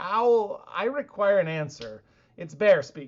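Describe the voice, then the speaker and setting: A put-on character voice at a middle pitch. It is raised and projected, with a fairly slow pace. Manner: insistent, demanding.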